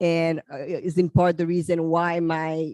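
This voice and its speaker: Speaking fairly slowly with a Haitian accent, a woman keeps a flat, monotone intonation at a fairly low pitch. The sound is dry and close, with no echo. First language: French and Haitian Creole. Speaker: psychologist. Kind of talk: panel talk. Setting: convention panel.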